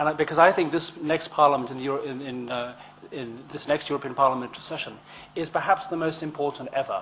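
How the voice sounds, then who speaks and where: Talking very fast, a man uses a fairly high pitch and fairly even intonation while his loudness swings widely. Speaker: election candidate. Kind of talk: campaign speech. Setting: public hustings event.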